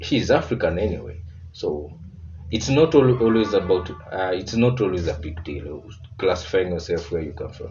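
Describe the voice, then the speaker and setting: This man has a very deep, low voice and a Kenyan accent, speaking at a moderate pace with lively intonation. Audible room echo and music sit in the background. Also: big swings in loudness. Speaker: reaction video creator. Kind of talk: reaction commentary.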